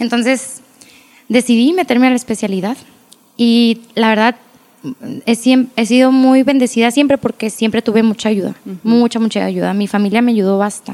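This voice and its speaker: At a moderate pace, the speaker keeps a fairly even intonation and very even loudness, leaving long, frequent pauses. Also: woman, fairly high pitch for a woman. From Agua Prieta, Sonora, northern Mexico. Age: 20s. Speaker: pediatric dentist. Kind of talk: casual interview chat.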